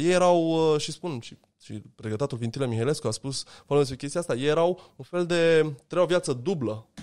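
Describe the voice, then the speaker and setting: A man's words come at a moderate pace in a very clean recording over a silent background. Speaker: anthropologist and lecturer. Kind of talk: interview conversation. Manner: direct and persuasive.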